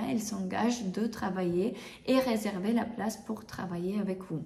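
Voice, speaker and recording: Audible room echo surrounds a somewhat breathy woman with a non-native accent and ordinary pitch variation. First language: not French (speaking French). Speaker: bridal hairdresser and makeup artist, trainer. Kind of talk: tutorial. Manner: halting, many hesitations; casual, conversational.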